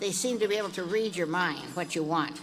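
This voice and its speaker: Noticeable background noise and audible room echo frame a woman's medium-pitched voice. She speaks at a moderate pace with fairly even intonation. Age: 80s+. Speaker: horse breeder, award honoree. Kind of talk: acceptance speech. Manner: halting, many fillers.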